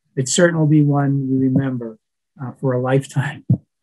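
This man's voice comes across somewhat breathy, with a quiet background behind it. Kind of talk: formal ceremony address. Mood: warm, proud. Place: office. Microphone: webcam.

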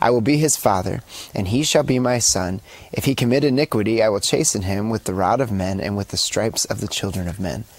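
The voice is an ordinary speaking voice with ordinary pitch variation. It moves at a fairly quick pace in a dry sound with no echo. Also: man, fairly low pitch for a man. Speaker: co-host. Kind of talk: reading scripture aloud. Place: studio. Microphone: lapel.

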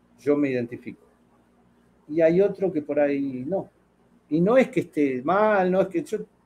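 With light background noise behind him, a man with a high, dark, mellow voice speaks with lively intonation and long, frequent pauses. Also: moderate pace. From Argentina. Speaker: fishing channel host. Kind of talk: casual chat. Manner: animated. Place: home room. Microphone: webcam.

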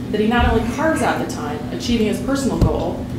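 Amid loud background noise and audible room echo, a woman talks at a fairly quick pace. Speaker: event host introducing a speaker. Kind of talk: formal introduction speech. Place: hall.

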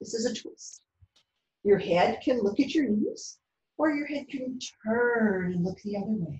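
Soft-spoken and soothing, a woman speaks at a fairly high pitch with lively intonation and long, frequent pauses, amid audible room echo. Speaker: yoga instructor. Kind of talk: guided yoga class with calm step-by-step instructions for children. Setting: video lesson, speaking to the camera. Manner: soft, slow, soothing, encouraging; clear, rhythmic cueing paced to breaths. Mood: calm, gentle. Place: home room. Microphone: camera far.

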